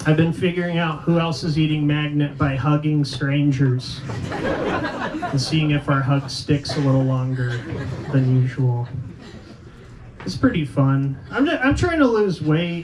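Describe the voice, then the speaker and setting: Noticeable background noise accompanies a fairly slow delivery. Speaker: comedian and competition host. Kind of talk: stand-up. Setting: stage with audience. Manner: loud.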